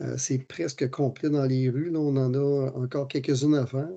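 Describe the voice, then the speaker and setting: Delivered at a moderate pace, a man's medium-pitched voice has a dark, mellow tone and monotone, flat intonation. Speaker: municipal engineer presenting technical work. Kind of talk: technical presentation. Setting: virtual meeting. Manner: hesitant, many fillers.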